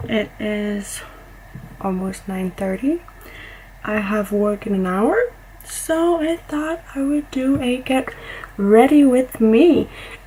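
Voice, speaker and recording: Over noticeable background noise, a woman with a high voice and lively intonation speaks very slowly, with long, frequent pauses. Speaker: beauty vlogger. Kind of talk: get-ready-with-me tutorial. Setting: home makeup spot.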